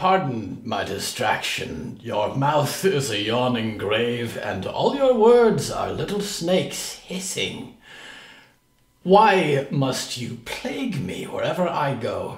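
Using a put-on character voice, a man speaks fairly slowly at a fairly high pitch, with a slight echo. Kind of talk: gothic theatrical speech. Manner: formal, archaic, icy.

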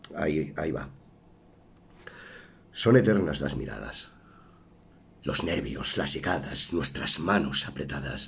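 A man's very deep, low voice with vocal fry, at a very slow pace, broken by long, frequent pauses. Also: ordinary pitch variation. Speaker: actor. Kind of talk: poetry reading. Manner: emotive, stirring.

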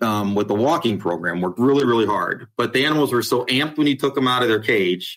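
A man with a US Midwestern accent speaks at a medium pitch with ordinary pitch variation. The recording is very clean, with a silent background. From Ohio, US Midwest. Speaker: animal shelter director. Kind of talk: interview.

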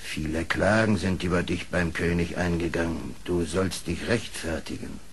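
A man speaks at a moderate pace in a put-on character voice, very deep and low, with clear background noise. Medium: audio drama.

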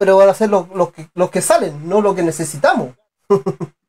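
A man speaks here. His voice sits high in pitch. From Chile. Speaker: sports channel interviewer. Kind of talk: live online interview show. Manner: halting, repeats words. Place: street. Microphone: video call.

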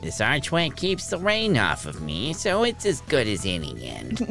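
Clear music plays behind a man who uses a put-on character voice at a medium pitch and a moderate pace. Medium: actual play.

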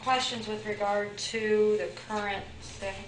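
Noticeable background noise sits under a woman's speech. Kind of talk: meeting report. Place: meeting room. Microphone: podium.

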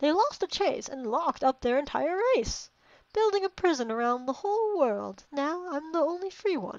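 A put-on character voice speaks in a high pitch. It moves at a moderate pace. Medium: game stream. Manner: singsong, repetitive, playful.

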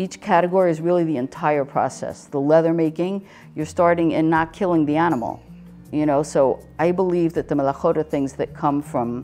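Faint music plays behind a woman whose very deep, low voice keeps a fairly even intonation. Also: fairly quick pace. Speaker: craft center teacher. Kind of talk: interview answer. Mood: calm, earnest explaining. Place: workshop.

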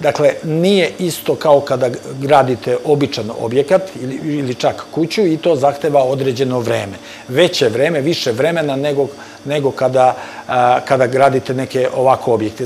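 Light background noise runs under a man speaking at a fairly quick pace. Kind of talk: interview answer. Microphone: lapel.

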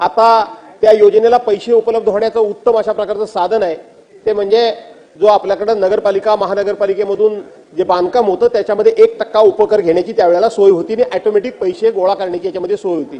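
This man talks fast with few pauses, his high-pitched voice dark and mellow and his intonation fairly even.

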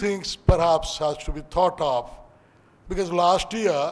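This man's delivery is fairly slow. The rise and fall of his pitch is ordinary. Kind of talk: formal speech. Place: hall. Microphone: podium.

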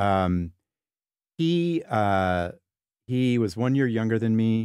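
Very slowly, a man speaks with a Californian accent, the sound dry with no echo and the background quiet. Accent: General American, Californian. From Southern California. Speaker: psychology professor. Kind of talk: interview conversation. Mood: reflective, warm, sometimes grieving. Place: home room.

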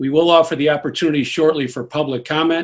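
A man speaks in a monotone, flat intonation over a quiet background. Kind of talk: formal meeting announcement. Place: home room. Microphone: video call.

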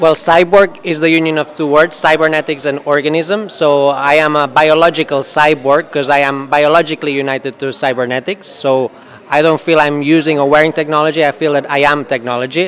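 Fairly even intonation at a fairly quick pace, with hardly any pauses. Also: man. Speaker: interview guest. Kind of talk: interview answer. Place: hall. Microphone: handheld.

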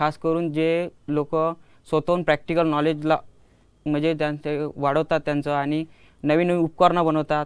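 In a flat monotone, a man with a fairly high pitch speaks over a quiet background. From Ashti, Vidarbha, Maharashtra; Maharashtra. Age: 20s. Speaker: student inventor; guest. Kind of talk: interview. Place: studio. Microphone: lapel.

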